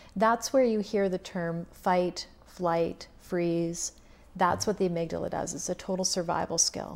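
Here is a woman with an unremarkable speaking voice at medium pitch. She talks at a fairly slow pace with fairly even intonation. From Saskatchewan, Canada. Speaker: counselor. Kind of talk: casual interview.

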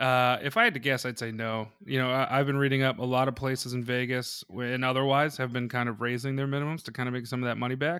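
Speaking very fast with hardly any pauses, a man delivers a bright, sharp tone in monotone, flat intonation. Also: medium pitch for a man. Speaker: podcast co-host. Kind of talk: casual chat. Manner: loud.

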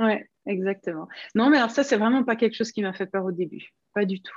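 Delivered at a moderate pace, the speech shows ordinary pitch variation and has a quiet background. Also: woman. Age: 50s. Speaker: knitting pattern designer. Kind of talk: interview. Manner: hesitant, many fillers.

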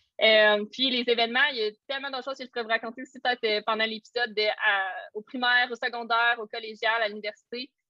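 Very fast, energetic speech comes in a Quebec accent. The loudness swings widely up and down. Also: woman, fairly high pitch for a woman. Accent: Québécois French. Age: 20s. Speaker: social media coach. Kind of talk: casual chat. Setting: video call.

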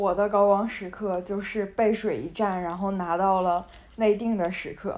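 A woman talks in a monotone, flat intonation. Her pace is fairly slow. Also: medium pitch for a woman. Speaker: university student podcast host. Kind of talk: casual chat.

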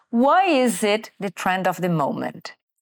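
A woman's pitch varies in an ordinary way, captured in a very clean recording against a silent background. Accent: Brazilian. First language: Portuguese. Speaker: podcast host. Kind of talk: scripted narration; interview. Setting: studio.

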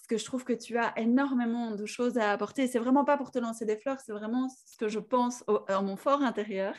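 A normal speaking voice with fairly even intonation. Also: woman. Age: 40s. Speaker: podcast host. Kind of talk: interview.

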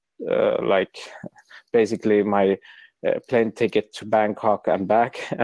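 A man in a dry, close sound with no echo and a quiet background. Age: 20s. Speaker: camera shop founder. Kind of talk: casual interview. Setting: phone call. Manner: halting.

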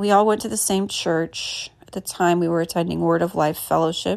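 A woman speaks in a plain, everyday voice with a fairly low pitch and ordinary pitch variation. The recording is very clean, with a silent background. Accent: American. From US Midwest (Indianapolis). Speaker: podcaster. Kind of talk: casual monologue.

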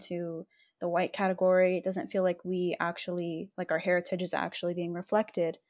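The recording is very clean, with a silent background. A woman with a medium pitch talks at a very fast pace. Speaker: podcast host, advocacy non-profit founder. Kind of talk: casual chat.

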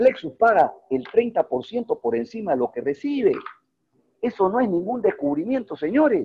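With very wide pitch swings, a man talks at a fairly slow pace. The sound is dry and close, without echo. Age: 50s. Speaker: network marketing leader. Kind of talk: online mentoring presentation. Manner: animated.

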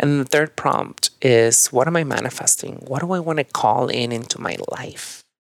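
An animated man with a Mexican accent, at a moderate pace with hardly any pauses, ordinary pitch variation and a dry, close sound with no echo. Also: medium pitch for a man. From northern Mexico. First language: Spanish. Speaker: yoga and meditation teacher. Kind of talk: casual chat.

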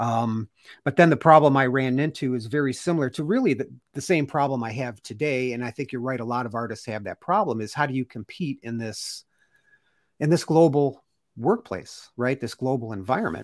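Fairly quick speech in a normal speaking voice, pitch varying in an ordinary way. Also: man, medium pitch for a man. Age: 50s. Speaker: podcast host and artist. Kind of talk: casual interview chat. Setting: live stream video call.

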